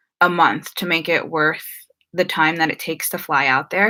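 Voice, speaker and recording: Though her pitch is very deep and low, this woman has a bright, sharp tone and a slight New Jersey accent. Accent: American, slight New Jersey. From New Jersey, US (Filipino family). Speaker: YouTuber. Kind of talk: live stream Q&A. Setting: live stream. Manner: casual, many fillers.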